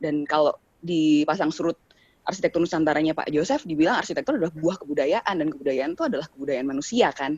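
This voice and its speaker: A woman talks at a very fast pace with a very deep, low pitch. Her pitch variation is ordinary, and the sound is dry and close with no echo. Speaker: discussion participant. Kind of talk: discussion questions.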